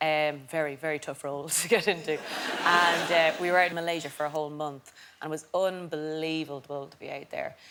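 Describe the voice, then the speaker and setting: In a southern Irish accent, a woman with a very deep, low pitch talks at a fairly quick pace in a flat monotone, her loudness swinging widely. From Ireland. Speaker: comedian. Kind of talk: casual chat.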